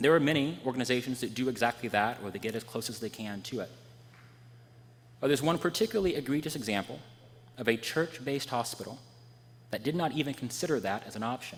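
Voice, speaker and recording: Quietly and at a very fast pace, a man with an American accent speaks with long, frequent pauses. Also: medium pitch for a man, ordinary pitch variation. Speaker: preacher. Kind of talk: sermon.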